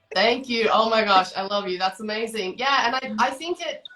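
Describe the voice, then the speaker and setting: Bright and sharp in tone, a woman with an Australian accent speaks at a fairly high pitch with lively intonation. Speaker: motorcycle coach. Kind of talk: podcast interview.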